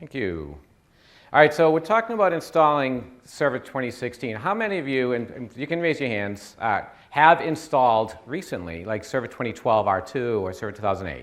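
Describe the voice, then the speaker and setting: The speaker has a Boston accent and a fairly quick pace, with very wide pitch swings and big swings in loudness. Audible room echo surrounds the voice. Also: man, medium pitch for a man. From US Northeast, Boston area. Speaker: IT consultant. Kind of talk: conference presentation. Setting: stage with audience.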